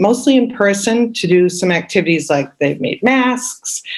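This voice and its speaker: A woman talks fairly slowly with lively intonation. She has a plain, everyday voice. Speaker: high school music teacher. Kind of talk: public meeting presentation.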